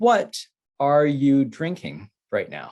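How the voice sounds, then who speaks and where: In a very clean recording with a silent background, a man speaks very slowly with a fairly high pitch. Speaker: English teacher. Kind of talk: slow, simple English lesson for beginners. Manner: slow, repetitive.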